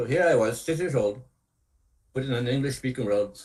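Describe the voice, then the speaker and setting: A man's medium-pitched, somewhat breathy voice has lively intonation. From northern Saskatchewan, Canada (Cree community). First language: Cree. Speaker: storyteller. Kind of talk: storytelling talk to students.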